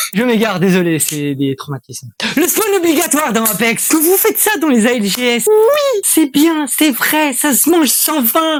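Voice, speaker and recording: A man with an extremely high voice talks at a fairly slow pace in an animated tone, his pitch swinging very widely and hardly any pauses breaking his speech, over noticeable background noise. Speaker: gaming commentary youtuber. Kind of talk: comedic rant.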